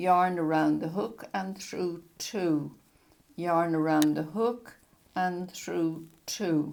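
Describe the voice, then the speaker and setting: At a very slow pace, a woman speaks with a fairly low pitch and fairly even intonation. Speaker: crochet teacher. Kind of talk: tutorial.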